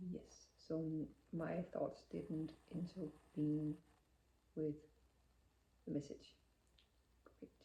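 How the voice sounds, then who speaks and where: A woman with a non-native accent, talking at a very slow pace with long, frequent pauses. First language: not English. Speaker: spiritual channeler. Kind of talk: channeling session.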